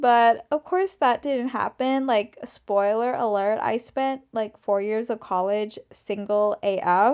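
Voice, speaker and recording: A woman talks at a very slow pace with hardly any pauses, her pitch fairly high with ordinary variation. The recording is very clean, with a silent background. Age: 20s. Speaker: podcast host. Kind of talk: casual solo podcast ramble. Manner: expressive, dramatic; chatty, laughs often.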